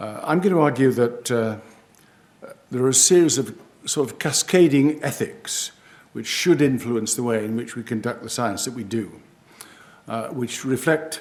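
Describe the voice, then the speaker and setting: A man with a British accent at medium pitch and moderate pace, with ordinary pitch variation, big swings in loudness and long, frequent pauses. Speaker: professor. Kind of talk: lecture. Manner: slightly slurred speech after a stroke; halting, many hesitations.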